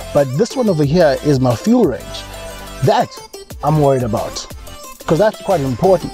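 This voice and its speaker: Over faint music in the background, a man talks at a fairly quick pace in a dry sound with no echo. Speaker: car reviewer. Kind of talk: car review commentary. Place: car.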